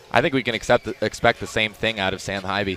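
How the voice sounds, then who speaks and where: A man speaks fairly quickly while noticeable background noise carries on around him. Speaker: sports broadcaster. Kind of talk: live play-by-play game call.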